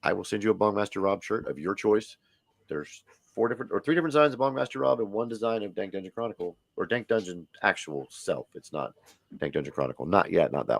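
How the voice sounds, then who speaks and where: A man's vocal-fry voice at a very fast pace with very wide pitch swings, in a dry, close sound with no echo. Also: fairly low pitch for a man. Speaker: live stream host. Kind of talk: casual chat. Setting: live stream. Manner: animated.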